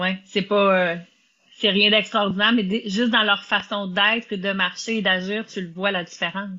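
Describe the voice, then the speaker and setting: A woman's medium-pitched voice stays flat and monotone as she talks fairly slowly. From Quebec. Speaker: podcast host, business and life coach. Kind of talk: casual interview.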